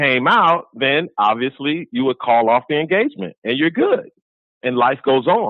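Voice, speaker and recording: Here is a man with an unremarkable speaking voice and a fairly high pitch. He talks at a fairly slow pace. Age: 60s. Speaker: caller. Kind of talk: casual chat. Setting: phone call.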